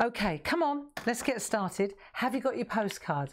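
Talking fairly quickly, a woman uses lively intonation. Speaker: craft show host. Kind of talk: casual live-stream chat. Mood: cheerful, chatty. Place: studio.

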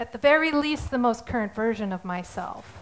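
The woman's pitch sits fairly high. Her pitch varies in an ordinary way. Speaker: artist. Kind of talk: prepared statement in court. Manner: halting. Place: stage. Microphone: headset.

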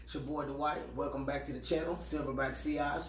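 Light background noise and audible room echo surround a man talking at a moderate pace. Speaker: fragrance vlogger. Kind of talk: casual vlog chat. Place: home room. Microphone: camera far.

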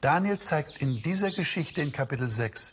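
A man speaks at a very slow pace with lively intonation. His voice carries vocal fry. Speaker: presenter. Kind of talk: sermon-like presentation. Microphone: lapel.

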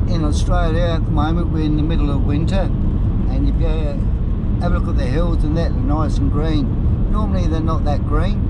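The speech moves at a fairly quick pace under loud background noise. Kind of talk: casual travel commentary. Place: car. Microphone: phone near.

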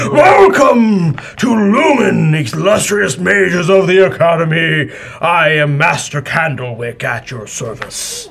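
A man's put-on character voice, high in pitch, at a fairly slow pace

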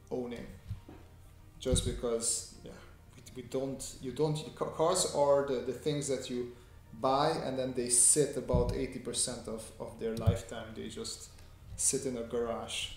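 A man's voice with big swings in loudness and long, frequent pauses, plus audible room echo and faint background music. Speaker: artist streaming a sketching tutorial. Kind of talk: casual livestream chat answering viewers. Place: home room.

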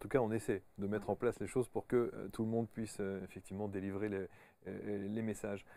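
A fairly low male voice, very fast and monotone, dry with no echo. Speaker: talk show host. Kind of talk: interview. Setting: studio. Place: studio. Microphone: lapel.

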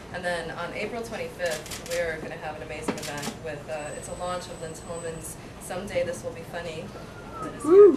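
Noticeable background noise runs through the clip. A woman speaks at a moderate speed. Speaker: bookshop event host. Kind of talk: welcome and announcements. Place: shop. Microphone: pa.

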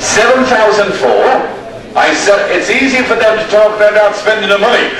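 A high-pitched man with an Irish accent at a moderate pace, with audible room echo and light background noise. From Ireland, county Roscommon. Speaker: livestock auctioneer. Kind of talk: livestock auction calling. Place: market.

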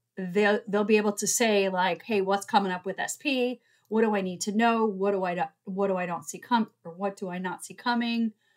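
A woman talks at a moderate pace, her pitch varying in an ordinary way, with a quiet background behind her. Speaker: tarot reader, coach. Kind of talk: casual vlog chat promoting programs. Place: home room. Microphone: webcam.

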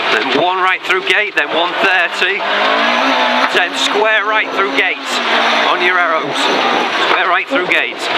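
Loud noise fills the background. The speech comes with long, frequent pauses. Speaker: rally co-driver. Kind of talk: in-car rally pacenote calling, rapid clipped stage instructions. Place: car. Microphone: helmet.

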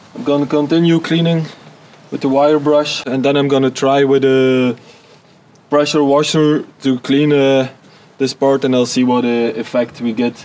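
A man at a moderate pace with monotone, flat intonation. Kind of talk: casual vlog chat. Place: garden. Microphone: camera far.

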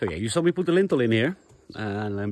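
With light background noise and a dry sound with no echo, a man talks at a moderate pace. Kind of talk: casual vlog chat. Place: open country. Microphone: phone near.

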